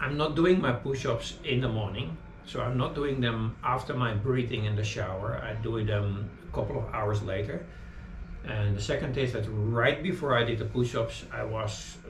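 A man talks at a moderate pace with ordinary pitch variation, light background noise and audible room echo. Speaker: fitness vlogger. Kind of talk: casual vlog chat. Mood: calm, reflective. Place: home room. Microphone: camera far.

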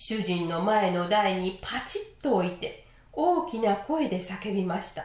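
Lively intonation in plain reading aloud.

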